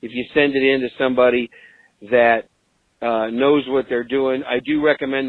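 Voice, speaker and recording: Here a man speaks at a fairly quick pace and a medium pitch with fairly even intonation. It is an ordinary speaking voice. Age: 50s. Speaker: podcast host leaving voicemail feedback. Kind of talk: voicemail message.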